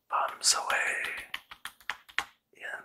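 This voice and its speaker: A man whispers in a soothing tone. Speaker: ASMR artist. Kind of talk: ASMR doodle presentation, soothing talk to camera. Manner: soothing, whispering.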